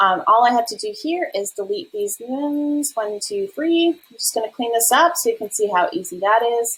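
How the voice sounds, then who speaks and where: A woman talks at a high pitch with very wide pitch swings and hardly any pauses. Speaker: affiliate manager and business coach; business coach. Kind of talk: tutorial. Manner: fast. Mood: upbeat, enthusiastic. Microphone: webcam.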